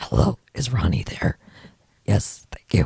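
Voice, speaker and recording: A put-on character voice, raspy and very deep in pitch, comes at a fairly slow pace. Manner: playful, disguised voice.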